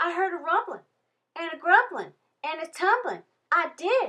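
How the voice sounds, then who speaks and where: Squeaky and extremely high-pitched, a woman does a put-on character voice at a moderate pace. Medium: read story. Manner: frantic, folksy.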